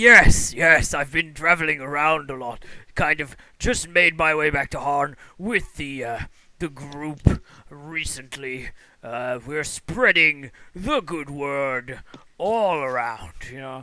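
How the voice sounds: Putting on a character voice, a man talks at a fairly slow pace and a fairly high pitch.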